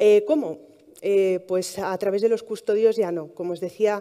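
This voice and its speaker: Against a quiet background, a woman speaks in a dark, mellow tone with fairly even intonation. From Palencia, Castilla y León, Spain; Castilla y León, Spain. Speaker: heritage blogger, monastery worker; heritage blogger. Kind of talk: talk to live audience. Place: hall.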